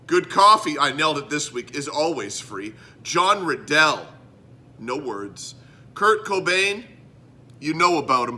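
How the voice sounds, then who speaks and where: This man's pitch is fairly high, with very wide swings, and his tone is animated, bright and sharp with vocal fry. He speaks at a fairly slow pace with long, frequent pauses. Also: big swings in loudness. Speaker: podcast host. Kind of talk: casual chat.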